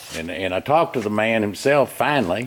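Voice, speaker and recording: A man speaks with a Southern US accent. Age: 70s. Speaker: retired diesel mechanic. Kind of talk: casual complaint video. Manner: halting.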